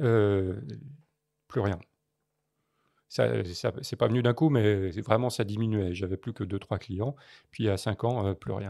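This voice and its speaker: In a very clean recording with a silent background, a man speaks with fairly low pitch, a dark, mellow tone, ordinary pitch variation and long, frequent pauses. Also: fairly slow pace. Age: 60s. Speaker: photojournalist. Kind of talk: podcast interview. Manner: halting, many hesitations.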